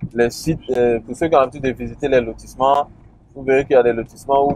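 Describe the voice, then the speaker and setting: Flat, monotone intonation marks this man's delivery. The sound is dry with no echo, over light background noise. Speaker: land plot tour guide. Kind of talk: casual commentary. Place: car. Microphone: phone near.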